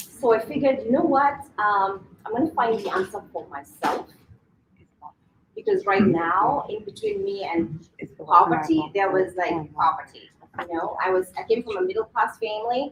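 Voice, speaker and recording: This is an ordinary speaking voice from a woman at medium pitch. She keeps a moderate pace with lively intonation. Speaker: financial seminar presenter. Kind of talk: seminar presentation. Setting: live audience in a venue.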